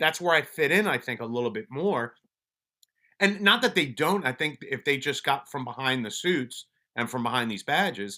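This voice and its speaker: A man speaks with a New York accent and a bright, sharp tone. His pitch swings very widely. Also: moderate pace, very clean recording, silent background. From Colombia, then Brooklyn, New York. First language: Spanish. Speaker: police officer and mental wellness advocate. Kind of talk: casual interview chat. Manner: halting, many restarts.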